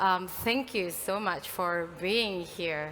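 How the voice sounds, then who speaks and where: Her tone is bright and sharp. The woman is heard with audible room echo. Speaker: consortium program manager / conference speaker. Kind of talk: conference welcome speech. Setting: stage with audience. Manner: soft-spoken.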